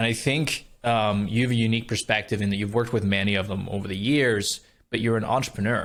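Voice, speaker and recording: The recording is very clean with a silent background. A man speaks at a very fast pace with fairly even intonation. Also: medium pitch for a man. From Scotland. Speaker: podcast host. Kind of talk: podcast interview questions.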